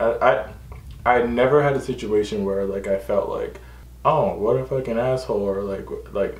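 A man talks at a moderate pace. Some room echo can be heard. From New York. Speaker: YouTuber. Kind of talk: casual Q&A vlog. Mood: relaxed, friendly.

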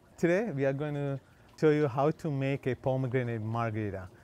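With lively intonation, a man speaks at a fairly quick pace in a dry recording that has no echo. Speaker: cooking channel host. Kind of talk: tutorial. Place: garden.

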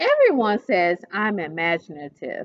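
A woman talks at a fairly slow pace, her pitch swinging very widely.

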